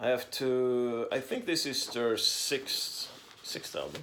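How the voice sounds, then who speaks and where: A man with a Swedish accent and medium pitch speaks at a very slow pace. Audible room echo and noticeable background noise surround him. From Sweden. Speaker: record collector vlogger. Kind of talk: casual unboxing monologue. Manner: halting with many fillers.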